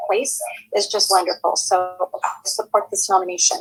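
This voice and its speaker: Music plays in the background as a woman speaks with an American accent. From Los Angeles, San Fernando Valley. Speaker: heritage board member, public commenter. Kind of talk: public comment at commission hearing.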